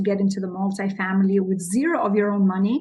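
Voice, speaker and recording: Very fast and somewhat breathy, a woman speaks with audible room echo. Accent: non-native. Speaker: real estate investor and business consultant. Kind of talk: podcast interview. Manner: animated.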